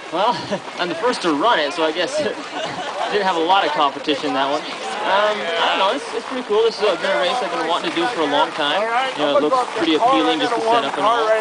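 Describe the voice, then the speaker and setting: With crowd noise behind him, a man talks very fast at a high pitch, his pitch swinging very widely. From Alaska. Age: 20s. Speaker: sled dog musher. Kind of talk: interview answer. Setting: outdoors.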